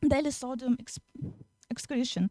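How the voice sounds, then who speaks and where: Speaking with a Russian accent, a woman with a high pitch has a dark, mellow tone and ordinary pitch variation, recorded dry and close with no echo. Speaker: young researcher presenting. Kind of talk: Q&A answers; conference presentation. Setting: conference hall. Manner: halting, many fillers.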